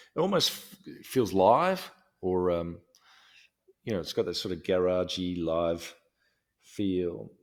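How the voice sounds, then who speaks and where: On a very clean recording with a silent background, a man in an Australian accent speaks at a moderate pace with a fairly low pitch and ordinary pitch variation. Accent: Australian, non-rhotic. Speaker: podcast host. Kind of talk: casual chat. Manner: hesitant, many ums and restarts.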